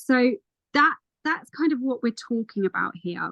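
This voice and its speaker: Lively intonation, somewhat breathy, in a dry, close sound with no echo. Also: woman. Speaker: ADHD coach. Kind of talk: interview. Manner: animated.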